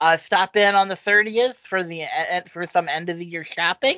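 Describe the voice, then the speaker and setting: Moderate pace and medium pitch from a woman with an ordinary speaking voice. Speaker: podcast host. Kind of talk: casual group chat podcast.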